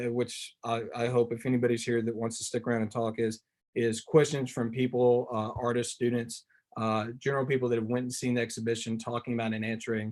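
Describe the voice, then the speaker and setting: A man is talking at a fairly quick pace. His pitch is medium. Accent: Tennessee. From US South, Tennessee. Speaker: visual artist. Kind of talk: artist talk presentation. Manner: fast; animated.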